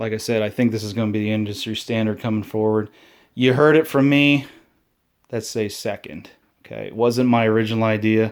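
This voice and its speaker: A man with a medium pitch and fairly even intonation comes through on a very clean recording with a silent background. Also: fairly quick pace. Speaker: reptile keeper and video creator. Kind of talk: tutorial. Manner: loud; casual.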